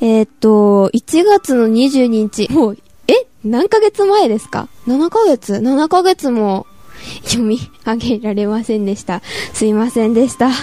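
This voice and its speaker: Speaking fairly slowly with lively intonation, a woman with a fairly high pitch comes through dry and close with no echo, over noticeable background noise. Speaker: podcast host, grandchild interviewing grandmother. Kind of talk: casual chat.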